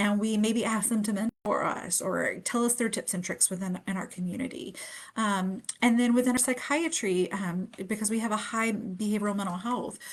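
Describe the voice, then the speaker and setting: The voice is somewhat breathy, with ordinary pitch variation. The speech runs on with hardly any pauses. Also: woman, fairly high pitch for a woman. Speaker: pediatric nurse practitioner. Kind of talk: webinar presentation. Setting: Facebook live stream. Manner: fast.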